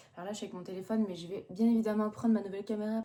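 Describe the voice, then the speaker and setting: A woman talks at a very fast pace. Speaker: online clothing entrepreneur, vlogger. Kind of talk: casual vlog. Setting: small office. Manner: hesitant, many fillers.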